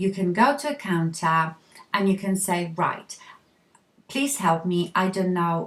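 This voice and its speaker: In a Polish accent, a woman speaks very slowly at a medium pitch with ordinary pitch variation. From Poland. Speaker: beauty vlogger. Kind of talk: makeup tutorial talk to camera. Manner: casual, friendly.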